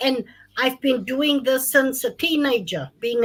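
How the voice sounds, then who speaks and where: A woman speaks at a fairly slow pace. Her voice is high in pitch. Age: 50s. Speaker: gender-based violence advocate. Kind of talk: panel discussion.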